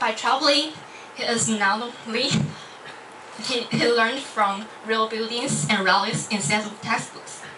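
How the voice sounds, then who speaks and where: The speaker has a Chinese accent and a fairly slow pace with long, frequent pauses. Pitch varies in an ordinary way, and background noise is noticeable. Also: woman, fairly high pitch for a woman. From Taiwan. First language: Mandarin Chinese. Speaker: university student. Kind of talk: club speech. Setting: stage with audience. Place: classroom.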